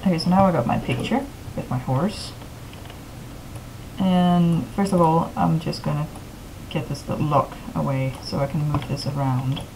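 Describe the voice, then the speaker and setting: Moderate pace and ordinary pitch variation, with long, frequent pauses, audible room echo and noticeable background noise. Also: woman, very deep, low pitch for a woman. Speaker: tutorial maker. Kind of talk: tutorial.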